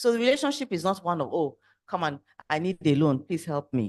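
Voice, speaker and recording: A dry, close sound with no echo, very wide pitch swings and a quiet background. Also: woman. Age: young. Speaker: mentoring organisation leader. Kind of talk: panel discussion.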